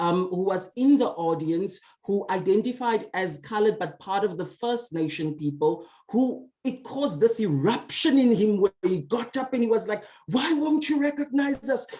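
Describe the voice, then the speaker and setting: A woman's fairly high, somewhat breathy voice with a dark, mellow tone, very wide pitch swings and a moderate pace. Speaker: academic panelist. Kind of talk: panel discussion. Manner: halting.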